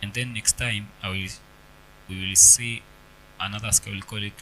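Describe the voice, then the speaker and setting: A man with an East African accent has a fairly low pitch, a bright, sharp tone, and fairly even intonation. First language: Swahili. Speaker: piano teacher. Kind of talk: tutorial. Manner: halting. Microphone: cable issues affecting sound.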